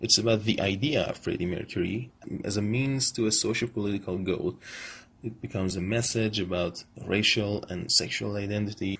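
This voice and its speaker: A man's fairly low voice in an Iranian accent, at a fairly quick pace with fairly even intonation. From Iran, Tehran. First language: Persian. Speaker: vlogger, film commentator. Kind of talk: monologue rant / video essay. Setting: selfie video recording. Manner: halting.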